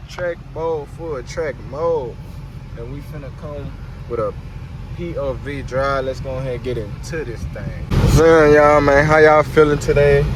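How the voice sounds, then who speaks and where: A man speaks at a fairly slow pace with ordinary pitch variation. Room echo is audible, and background noise is noticeable. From Louisiana, Baton Rouge. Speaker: car YouTuber. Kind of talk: casual vlog while driving. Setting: in a car. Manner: animated.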